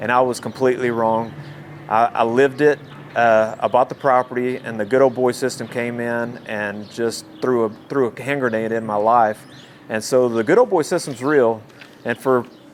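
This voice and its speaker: With noticeable background noise around him, a man talks at a moderate pace and a medium pitch. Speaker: city council candidate. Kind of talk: interview. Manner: loud; halting, many repetitions.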